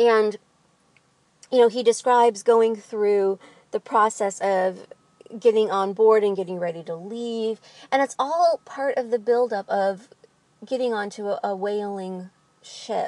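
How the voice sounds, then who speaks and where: The speaker, with a slight Midwestern accent, goes at a fairly slow pace with long, frequent pauses and ordinary pitch variation. The sound is dry and close, with no echo. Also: woman, fairly high pitch for a woman. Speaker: literature vlogger. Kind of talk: book discussion monologue. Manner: casual with frequent fillers.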